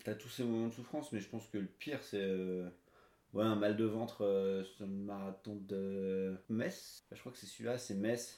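A man's fairly low, dark and mellow voice at a fairly slow pace, with fairly even intonation and big swings in loudness. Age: 30s. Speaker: amateur runner, salesman. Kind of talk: casual interview.

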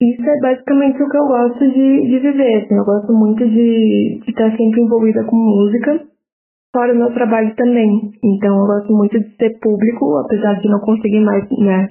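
A woman uses an ordinary speaking voice with a fairly high pitch and fairly even intonation. She keeps a moderate pace and very even loudness. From Porto Alegre, Brazil. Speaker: journalist and press officer. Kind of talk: interview answer.

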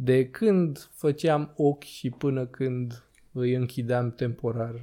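The man's voice sits at a medium pitch, with a dark, mellow tone and ordinary pitch variation. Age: 20s. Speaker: podcast host. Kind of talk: casual chat. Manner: animated.

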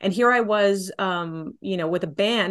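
Over a quiet background, a woman with a Texan accent speaks at a medium pitch. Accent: Texan American English. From Texas, San Antonio. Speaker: folk singer-songwriter. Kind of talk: casual interview.

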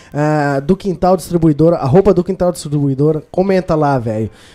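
Dark and mellow in tone, this man's fairly high voice moves at a fairly quick pace. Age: 20s. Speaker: podcast host. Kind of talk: casual chat. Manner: animated.

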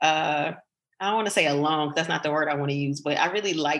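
Speaking with an American accent, a woman has a bright, sharp tone, a very deep, low pitch and ordinary pitch variation. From United States. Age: 30s. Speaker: tech entrepreneur. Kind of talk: casual interview.

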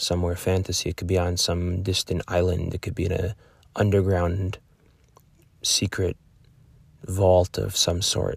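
Very deep and low in pitch, a man speaks in a monotone, flat intonation at a moderate pace. He sounds somewhat breathy and takes long, frequent pauses. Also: very clean recording, silent background. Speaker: meditation guide. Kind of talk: guided meditation.

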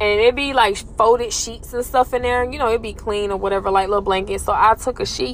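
Over noticeable background noise, a woman with a fairly high voice speaks in an animated tone. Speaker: podcaster and former elderly caregiver. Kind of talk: casual chat, then ghost story telling with hushed, suspenseful tension. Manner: animated, conversational, direct appeal to listeners.

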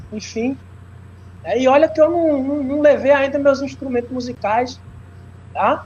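At an extremely high pitch, a man talks at a fairly slow pace with fairly even intonation. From Brazilian Northeast, interior of Pernambuco. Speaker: professor and capoeira practitioner. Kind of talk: lecture.

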